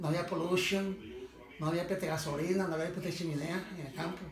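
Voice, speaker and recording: Through noticeable background noise, a man talks at a moderate pace in a fairly high pitch with fairly even intonation. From Puerto Rico. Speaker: former farmer and fisherman. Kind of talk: interview answer, life story. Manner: casual, rambling. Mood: fond, nostalgic. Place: home room. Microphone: phone near.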